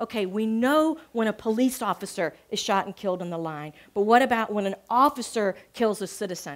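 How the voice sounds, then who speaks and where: Against a quiet background, a woman speaks at a moderate pace with ordinary pitch variation in a Southern US accent. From US South. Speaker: journalism professor. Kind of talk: public talk. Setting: stage with audience. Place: cafe.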